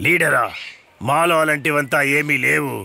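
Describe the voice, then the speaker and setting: A cartoonish character voice sounds at a low-to-middle pitch. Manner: proud, blunt.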